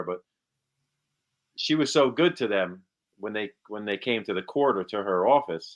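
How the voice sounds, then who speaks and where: This is a man talking. He has a New Jersey accent. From New Jersey, Monmouth County. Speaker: actor. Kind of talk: casual interview chat.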